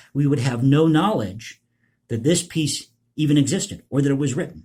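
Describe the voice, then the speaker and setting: With an American accent, a man with fairly high pitch, a dark, mellow tone and a somewhat breathy quality speaks at a moderate pace with ordinary pitch variation. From United States. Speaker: political commentary youtuber, composer. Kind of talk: casual vlog commentary.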